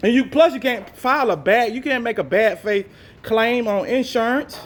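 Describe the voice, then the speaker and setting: A loud man speaks at an extremely high pitch with ordinary pitch variation. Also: moderate pace. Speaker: person disputing an insurance claim. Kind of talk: heated phone argument. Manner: insistent.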